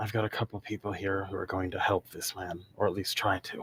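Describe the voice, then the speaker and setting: Putting on a character voice, a man speaks raspy and fairly low at a fairly quick pace with monotone, flat intonation, the sound dry and close with no echo. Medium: actual play. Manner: terse, clipped.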